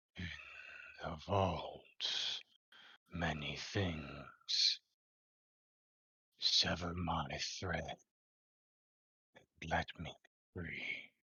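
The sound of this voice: In a put-on character voice, the speaker goes very slowly at a very deep, low pitch, with long, frequent pauses.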